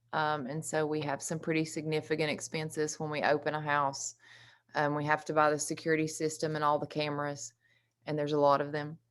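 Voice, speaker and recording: A woman speaks fairly quickly in a very deep, low, monotone, flat voice on a very clean recording with a silent background. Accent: Southern. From US South, East Tennessee (Carter County). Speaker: recovery housing co-founder. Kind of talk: presentation at community meeting.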